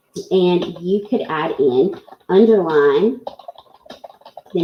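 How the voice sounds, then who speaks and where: A woman with a Southern US accent speaks at a very slow pace. Her fairly low voice carries lively intonation. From US South. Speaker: teacher presenting at an online education event. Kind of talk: live software tutorial. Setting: live online presentation.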